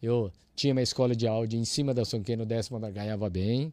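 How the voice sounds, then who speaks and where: A man in a Japanese accent, very fast, with a dark, mellow tone against a quiet background. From Brazil, Londrina, Paraná. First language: Japanese (speaking Portuguese). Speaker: church audio engineer. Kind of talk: casual interview chat.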